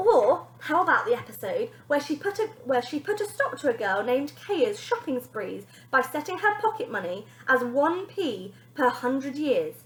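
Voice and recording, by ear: With big pitch swings, a woman speaks at a moderate pace in a high pitch.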